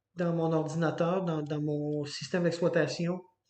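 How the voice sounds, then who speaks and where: Audible room echo surrounds a man speaking at a moderate pace in a high voice. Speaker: computer science teacher. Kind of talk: lecture. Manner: halting, many fillers.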